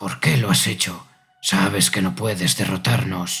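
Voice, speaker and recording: A man speaks in a raspy, put-on character voice with a very deep, low pitch. His pace is moderate, and faint music plays in the background. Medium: read story. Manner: mocking, sardonic.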